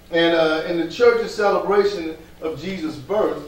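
Room echo is audible as a man talks at a moderate pace with ordinary pitch variation. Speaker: pastor. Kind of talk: sermon. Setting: church. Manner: animated. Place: church.

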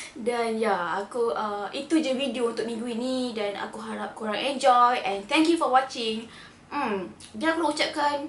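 Against audible room echo and light background noise, a woman speaks fairly slowly at a high pitch with ordinary pitch variation. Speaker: vlogger. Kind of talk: casual vlog chat. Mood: warm, sympathetic sign-off. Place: home room.

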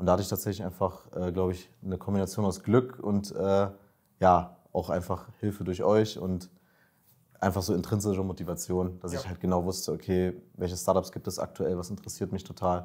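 Against a quiet background, a man talks in a very deep, low voice with monotone, flat intonation. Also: fairly quick pace. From Berlin, Germany. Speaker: master's student, coaching client; coaching client. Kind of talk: interview, casual. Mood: relaxed, reflective. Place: office. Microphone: lapel.

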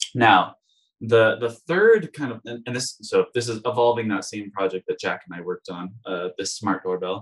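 This is an ordinary speaking voice from a man, medium in pitch with ordinary pitch variation. He keeps a moderate pace while his loudness swings widely. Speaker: industrial designer and design instructor. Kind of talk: webinar presentation.

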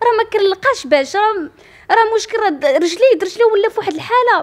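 A woman speaks at an extremely high pitch. Her intonation is lively, and her pace is moderate. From Morocco, Kenitra province; Morocco. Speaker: accident survivor, law student. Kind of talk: personal testimony interview. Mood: aggrieved, frustrated. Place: home room. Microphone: handheld.

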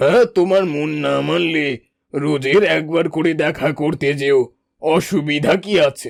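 The voice is a cartoonish character voice. It moves at a fairly slow pace. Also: man, fairly high pitch for a man. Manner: calm, reassuring, authoritative.

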